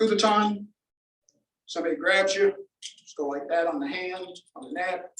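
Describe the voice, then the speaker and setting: Using a raised, projected voice, a man speaks at a high pitch with ordinary pitch variation. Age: 70s. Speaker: security products seller, gun club speaker. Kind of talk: demonstration talk to a club meeting.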